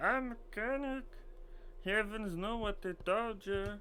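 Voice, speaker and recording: Over clear background noise, a put-on character voice at a fairly high pitch moves at a fairly slow pace. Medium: game stream. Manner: wheedling, haggling.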